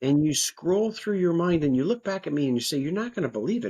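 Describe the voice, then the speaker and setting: Against a quiet background, a man's somewhat breathy voice moves at a fairly quick pace with very wide pitch swings. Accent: American. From United States. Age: 60s. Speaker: nonprofit co-founder and life coach. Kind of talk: podcast interview. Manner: conversational.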